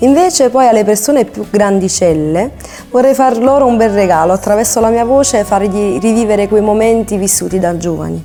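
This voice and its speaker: A woman's fairly high voice at a fairly quick pace, ordinary pitch variation, music in the background. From Naples, Italy. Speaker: singer. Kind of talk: interview.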